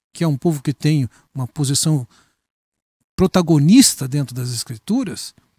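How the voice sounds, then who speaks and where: With a fairly high pitch and a dark, mellow tone, a somewhat breathy man speaks with ordinary pitch variation and long, frequent pauses in a dry, close sound with no echo. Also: moderate pace. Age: 60s. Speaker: pastor. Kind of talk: interview conversation.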